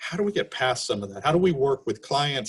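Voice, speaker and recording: The man's voice is somewhat breathy. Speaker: webinar moderator. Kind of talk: webinar interview. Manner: halting.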